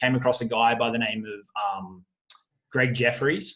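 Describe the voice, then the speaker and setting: An Australian accent comes through. The speaker is a man. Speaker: affiliate marketer. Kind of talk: interview. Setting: call. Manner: frequent fillers and repetitions.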